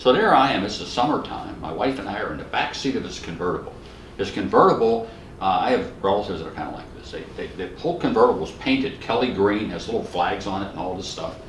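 A man with an American accent at a very fast pace, with big swings in loudness, audible room echo and light background noise. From Western Pennsylvania, US. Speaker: criminology professor. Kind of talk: oral history interview. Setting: academic conference. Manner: humorous storyteller. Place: home room.

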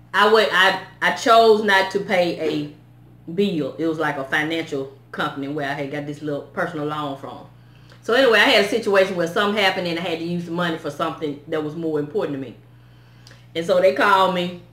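Audible room echo surrounds a woman with a fairly low pitch and ordinary pitch variation. She talks at a fairly quick pace. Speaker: vlogger. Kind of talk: casual vlog chat. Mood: upset, animated storytelling. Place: home room. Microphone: phone near.

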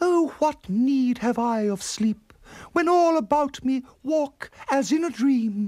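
A man's put-on character voice at an extremely high pitch, slow pace, lively intonation and slightly mellow tone

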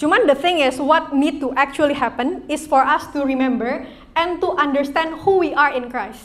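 A woman speaks in a high voice at a moderate pace with hardly any pauses. Her pitch varies in an ordinary way. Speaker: youth church speaker; speaker. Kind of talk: sermon; interactive game with audience. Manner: casual, code-switching Indonesian and English. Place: church. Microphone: mic too quiet at first; handheld.

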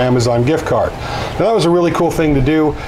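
Music plays in the background. A man is speaking. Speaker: woodworking channel host. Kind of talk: casual vlog chat. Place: workshop.

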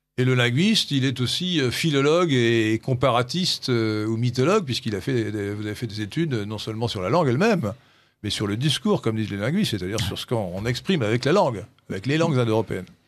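Over a quiet background, a man talks at a very fast pace in a medium pitch with lively intonation. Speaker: radio host. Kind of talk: radio discussion. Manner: halting.

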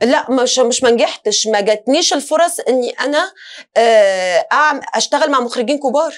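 Over a quiet background, a woman speaks at a fairly slow pace with a high pitch. Her intonation is lively and her loudness very even. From Tunisia. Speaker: singer and actress; interview guest, actress. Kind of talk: talk show interview. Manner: halting, many fillers and restarts. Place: studio.

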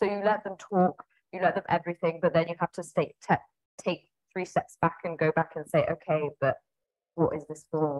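In a quiet background, a woman with a fairly low voice speaks at a moderate pace with fairly even intonation. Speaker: head of marketing. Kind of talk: casual interview. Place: office. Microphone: earbuds.

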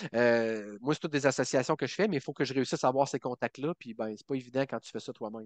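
At a very fast pace with hardly any pauses, a man at medium pitch talks with ordinary pitch variation and big swings in loudness, in a dry sound with no echo and a quiet background. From Quebec, Bas-Saint-Laurent; Quebec. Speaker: country singer; podcast guest. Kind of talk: interview. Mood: enthusiastic, friendly. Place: home room. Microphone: headset.

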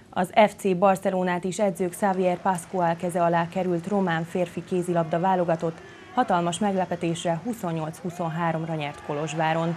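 A woman's fairly low, dark and mellow voice, flat and monotone at a moderate pace, with light background noise. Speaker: sports news presenter. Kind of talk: news reading. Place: studio.

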